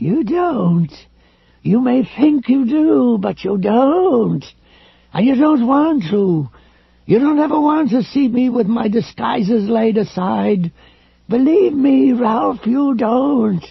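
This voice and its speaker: In a put-on character voice, the speaker goes at a fairly slow pace with a fairly high pitch. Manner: menacing.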